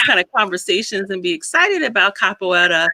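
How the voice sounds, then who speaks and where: The tone is bright and sharp, at a fairly quick pace. The sound is dry and close, with no echo. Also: woman. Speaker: podcast host, psychologist. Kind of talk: casual interview chat.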